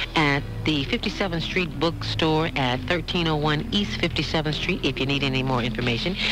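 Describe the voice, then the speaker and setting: A woman speaks at a fairly quick pace with a very deep, low pitch and ordinary pitch variation. Music plays in the background, her loudness stays very even, and there are hardly any pauses. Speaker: radio personality. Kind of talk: radio community announcements. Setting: radio studio. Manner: casual, friendly.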